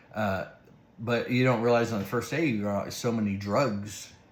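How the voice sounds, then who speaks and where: Audible room echo surrounds a fairly slow delivery with ordinary pitch variation. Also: man. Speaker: vlogger documenting new dentures. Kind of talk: casual vlog recap. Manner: slightly slurred speech; halting, many fillers.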